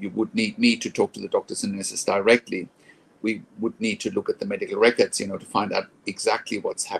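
A man at a fairly quick pace, with light background noise. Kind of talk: advice vlog monologue. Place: home room. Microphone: phone near.

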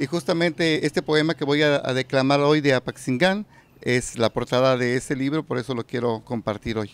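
A man talks at a fairly high pitch and a moderate pace, with ordinary pitch variation. The sound is dry, with no echo. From Mexico, Michoacán. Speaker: poet and reciter. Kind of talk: casual interview. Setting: live community event. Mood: warm, smiling. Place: hall. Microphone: handheld.

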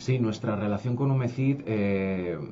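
Against noticeable background noise, a man speaks with fairly low pitch and fairly even intonation. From Spain. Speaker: education company director; guest. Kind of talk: radio interview. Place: studio.

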